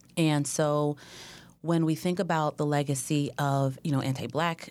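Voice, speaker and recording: At a fairly slow pace, a woman with an American accent speaks in a very deep, low pitch with fairly even intonation, in a very clean recording with a silent background. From Oakland, California. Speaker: foundation executive. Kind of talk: interview.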